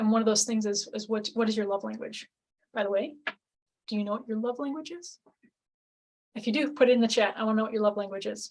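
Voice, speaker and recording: A woman's fairly high, somewhat breathy voice at a very fast pace, with long, frequent pauses and ordinary pitch variation. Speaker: relationship coach. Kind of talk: webinar presentation. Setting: live webinar with screen share.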